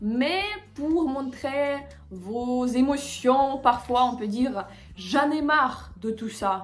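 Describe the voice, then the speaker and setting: A woman talks very slowly in a high voice with ordinary pitch variation and big swings in loudness, over noticeable background noise and audible room echo. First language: Russian (speaking French). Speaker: language teacher. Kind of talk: tutorial. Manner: hesitant, with filler sounds.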